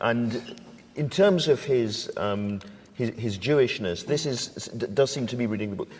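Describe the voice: A man speaks at medium pitch with a slightly mellow tone. His pace is fairly slow and his intonation lively.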